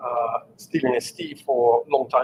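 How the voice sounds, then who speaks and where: A man talks with an Italian accent. Light background noise can be heard. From Italy (Sicily, Catania); Sicily, Italy. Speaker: engineering executive; presenter. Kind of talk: lecture. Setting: live-streamed talk with audience. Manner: halting, many fillers. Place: meeting room.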